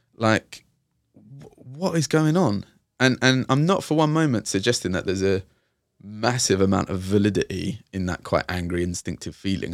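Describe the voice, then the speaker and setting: A man with a London accent talks at a fairly quick pace with fairly low pitch and lively intonation, in a very clean, dry, close recording with a silent background and no echo. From East London, Hackney. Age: 30s. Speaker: youth and community worker. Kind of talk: casual interview.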